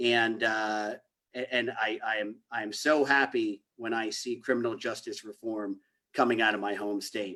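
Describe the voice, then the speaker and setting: A man with a New Jersey accent speaks at a medium pitch and a moderate pace. His tone is bright and sharp, his intonation flat and monotone. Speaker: criminal justice reform advocate. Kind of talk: panel presentation.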